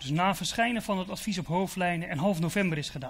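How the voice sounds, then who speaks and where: Speaking at a fairly quick pace, the man has a high pitch. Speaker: event moderator. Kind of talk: event hosting. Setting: stage with audience. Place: hall. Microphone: handheld.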